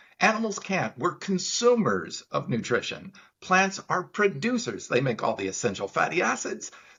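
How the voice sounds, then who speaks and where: A man with vocal fry talks at a fairly quick pace, his pitch swinging very widely. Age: 60s. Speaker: plant-based supplement business owner. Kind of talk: interview. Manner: animated.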